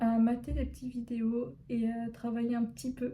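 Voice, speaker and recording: Her intonation is monotone and flat as this woman talks at a fairly high pitch. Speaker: pharmacy student vlogger. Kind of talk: casual vlog talk. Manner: hesitant.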